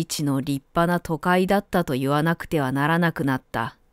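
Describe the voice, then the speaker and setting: In a very clean recording with a silent background and a dry, close sound with no echo, a woman with an unremarkable speaking voice talks at a fairly slow pace, her pitch fairly low and her intonation fairly even. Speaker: narrator. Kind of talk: audiobook literary reading.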